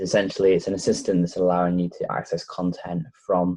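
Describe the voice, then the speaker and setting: A man speaks in a Lancashire accent. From northern England, Blackpool, Lancashire. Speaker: tech reviewer. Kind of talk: tutorial.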